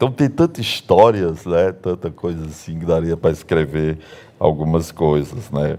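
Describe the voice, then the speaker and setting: Man with a very deep, low pitch and a dark, mellow tone, at a fairly slow pace. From northern Bahia, Brazil. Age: 60s. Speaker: pastor. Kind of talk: sermon. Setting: church. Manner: casual storytelling.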